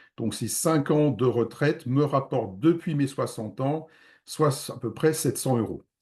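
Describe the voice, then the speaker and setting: In a quiet setting, a man with a fairly high, somewhat breathy voice talks at a fairly slow pace with ordinary pitch variation. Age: 60s. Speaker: real estate investment advisor. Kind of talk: webinar presentation. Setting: online video conference. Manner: hesitant with frequent fillers.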